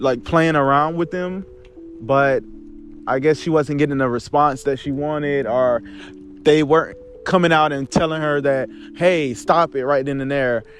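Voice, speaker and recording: With music in the background, a man with a fairly high pitch speaks at a moderate pace, with fairly even intonation and long, frequent pauses. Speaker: commentary youtuber. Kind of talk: casual commentary monologue. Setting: outdoors in a park. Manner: unscripted, off the cuff, some stuttering.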